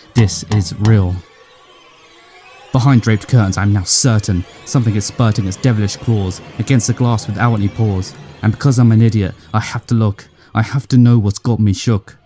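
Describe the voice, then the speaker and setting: With music in the background, a man speaks at a fairly quick pace in a fairly low pitch and fairly even intonation, the sound dry and close with no echo. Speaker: spoken word poet. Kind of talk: horror narrative poem.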